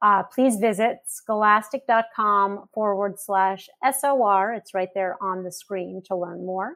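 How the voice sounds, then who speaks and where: An ordinary speaking voice from a woman at medium pitch, fairly slow and fairly even in intonation, with hardly any pauses. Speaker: curriculum executive. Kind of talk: closing remarks.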